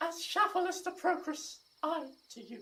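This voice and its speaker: The voice is put-on, a squeaky character at an extremely high pitch. Its pace is moderate. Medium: stage play. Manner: melodramatic.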